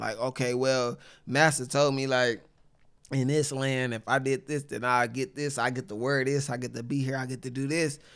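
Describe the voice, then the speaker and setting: On a very clean recording with a silent background, a man with an American accent speaks in a plain, everyday voice at a medium pitch, a moderate pace and fairly even intonation. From Saginaw, Michigan. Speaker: poet and author. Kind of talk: casual chat.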